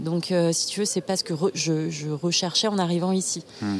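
In an unremarkable speaking voice, a woman talks at a moderate pace with fairly low pitch and fairly even intonation. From Burgundy, France. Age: 30s. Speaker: communications officer, former teacher. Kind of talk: casual interview. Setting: outdoors in a park.

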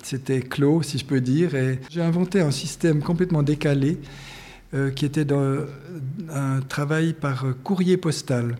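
Fairly slow and somewhat breathy, a man speaks with a dark, mellow tone. His pitch is fairly high and his intonation fairly even. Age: 60s. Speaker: painter and art teacher. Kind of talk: interview. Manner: halting.

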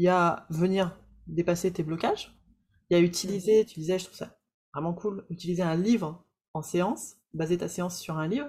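A woman speaks at a moderate pace with big swings in loudness. Her voice is somewhat breathy. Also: fairly low pitch for a woman, ordinary pitch variation. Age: 30s. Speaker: podcast host and coach for practitioners. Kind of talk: interview.

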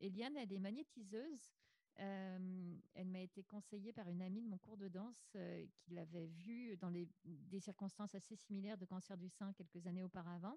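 Here a woman talks at a moderate pace and a medium pitch, with ordinary pitch variation. Her dark, mellow tone is somewhat breathy, and the sound is dry and close with no echo. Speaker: podcaster. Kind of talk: interview testimony.

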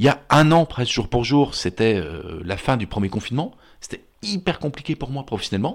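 Vocal fry marks this man's voice, which moves through very wide pitch swings. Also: medium pitch for a man, moderate pace. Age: 50s. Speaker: therapist. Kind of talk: casual chat.

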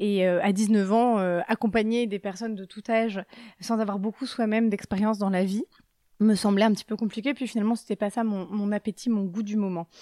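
A woman speaks at a fairly high pitch with a dark, mellow tone and monotone, flat intonation. The sound is dry and close with no echo, on a very clean recording with a silent background. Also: fairly quick pace. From Brittany, France. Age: 30s. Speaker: dietitian. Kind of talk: interview. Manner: gentle.

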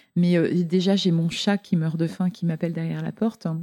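A woman talks with a dark, mellow tone and ordinary pitch variation, recorded dry and close with no echo. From Lorraine, France. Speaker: entrepreneur and author. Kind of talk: interview conversation.

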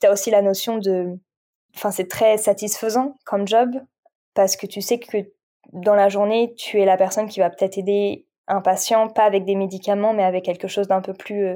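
A woman's medium-pitched voice, dark and mellow in tone, monotone and flat, at a moderate pace. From France. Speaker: meditation coach and Reiki practitioner. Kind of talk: casual chat. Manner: halting.

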